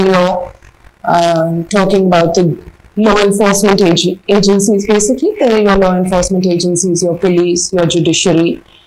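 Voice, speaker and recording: A woman is speaking. Her pace is moderate. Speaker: interviewee. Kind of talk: interview answer. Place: home room.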